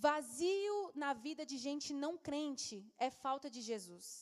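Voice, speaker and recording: This woman speaks at a high pitch with lively intonation. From Brasília, Brazil. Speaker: youth pastor. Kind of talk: sermon. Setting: church.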